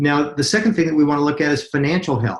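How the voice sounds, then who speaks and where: This man's voice is somewhat breathy, and his pitch moves in an ordinary way. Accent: American. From US, Utah. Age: 50s. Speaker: network marketing presenter. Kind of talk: webinar sales presentation. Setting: webinar call.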